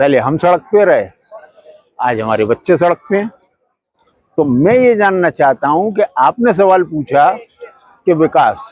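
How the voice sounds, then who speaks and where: A high-pitched man's voice with very wide pitch swings and long, frequent pauses, in a dry, close sound with no echo. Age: 60s. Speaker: protester. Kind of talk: street interview. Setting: outdoors at a protest.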